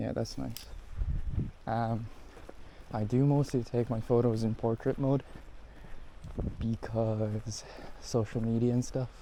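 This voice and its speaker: Mumbling in an Irish accent, a man speaks at a fairly slow pace with fairly even intonation and long, frequent pauses. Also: medium pitch for a man. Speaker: photography vlogger. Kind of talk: casual POV vlog narration. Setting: outdoors in a national park. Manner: mumbling under breath.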